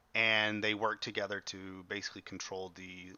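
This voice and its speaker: A man's fairly low-pitched voice at a fairly quick pace. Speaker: high school history teacher. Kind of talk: online class lecture. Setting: livestreamed class on video platform. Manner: fast.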